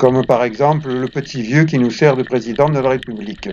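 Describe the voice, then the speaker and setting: A man talks while noticeable background noise plays in the recording. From southern France, Provence (La Seyne-sur-Mer). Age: 70s. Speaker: retired lifeguard, video blogger. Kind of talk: documentary narration.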